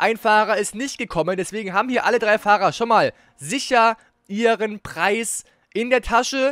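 The man's voice is high-pitched, with a bright, sharp tone. His pitch variation is ordinary. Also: moderate pace, dry, close sound with no echo. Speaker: gaming YouTuber and race commentator. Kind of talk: live-style esports race commentary over replay footage. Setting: studio/home recording, voiceover on game footage.

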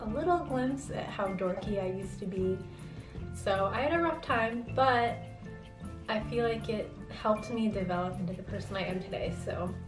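A woman speaks at a moderate pace with clear music playing behind her. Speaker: vlogger. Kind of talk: casual vlog chat. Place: home room.

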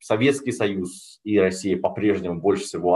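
Over a quiet background, a man with a fairly low pitch talks at a moderate pace. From Russia. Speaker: sinologist, foreign policy expert; lecturer, policy analyst. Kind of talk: lecture. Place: home room. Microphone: webcam.

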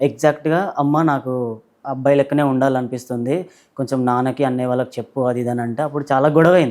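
A man's medium-pitched voice, a plain, everyday voice, in a very clean recording with a silent background. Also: fairly even intonation. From Telangana, near Warangal. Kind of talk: interview testimony.

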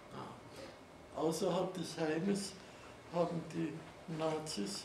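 Over noticeable background noise, a man talks very slowly at a high pitch with ordinary pitch variation. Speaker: Holocaust survivor, eyewitness speaker. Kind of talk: eyewitness testimony, talk to an audience with slides. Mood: calm, reflective. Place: classroom. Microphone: camera far.

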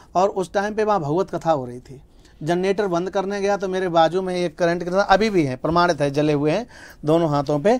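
A man with a high-pitched voice speaks at a moderate pace, showing ordinary pitch variation and big swings in loudness. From India, Uttar Pradesh (Mainpuri); Uttar Pradesh, India. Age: 30s. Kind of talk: interview. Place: studio. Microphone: lapel.

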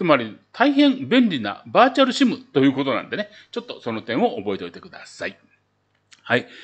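A man talks at a fairly quick pace in a high pitch. His pitch swings very widely, and his loudness rises and falls in big swings. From Japan. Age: old. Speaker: travel YouTuber; travel vlogger. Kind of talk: casual tutorial video; casual explanatory vlog talk. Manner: filler-heavy, conversational. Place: home room.

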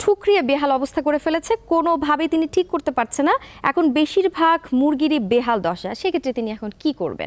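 A woman speaks at a high pitch with lively intonation. The recording is very clean and dry, close with no echo, over a silent background. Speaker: TV presenter. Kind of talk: TV show hosting. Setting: studio. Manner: formal.

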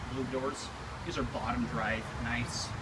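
Loud background noise behind a fairly slow-paced male voice. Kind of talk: casual vlog commentary. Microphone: phone near.

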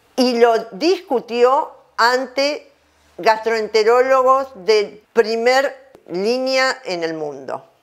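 Against a quiet background, a woman speaks at a very slow pace in a high pitch with lively intonation. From Argentina. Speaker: dentistry professor; dental lecturer. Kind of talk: lecture. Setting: at home. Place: home room.

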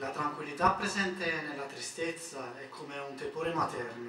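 A man at a fairly slow pace with ordinary pitch variation, against noticeable background noise. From Naples, Italy. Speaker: poet. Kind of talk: poetry reading.

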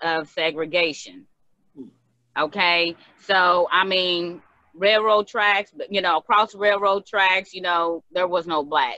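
A woman's very slow delivery with fairly even intonation, set against a quiet background. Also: dry sound with no echo. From Danville, Kentucky; Kentucky. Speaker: community member sharing memories. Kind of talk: casual group conversation. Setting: video call. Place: home room. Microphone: video call.

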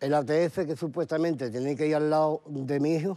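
Dark and mellow in tone, a man's fairly high voice moves at a fairly quick pace with ordinary pitch variation. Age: 50s. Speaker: bereaved father; guest. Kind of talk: TV interview testimony. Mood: sorrowful, emotional recounting. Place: studio.

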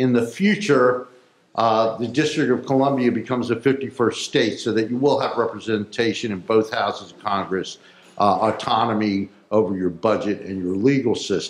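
A man's speech carries some room echo along with faint background noise. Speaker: elected official hosting hearing. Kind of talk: public meeting announcements and address. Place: hall. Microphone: podium.

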